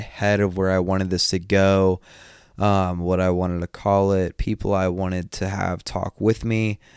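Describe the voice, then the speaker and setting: A man with an American accent speaks at a moderate pace in a very deep, low pitch. His intonation is monotone and flat, on a very clean recording with a silent background. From US South, northeast Georgia. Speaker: podcast host, fitness coach. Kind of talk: casual monologue.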